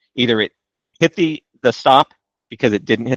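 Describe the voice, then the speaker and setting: A plain, everyday voice from a man at a medium pitch, with ordinary pitch variation. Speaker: trading software trainer. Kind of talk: live training webinar.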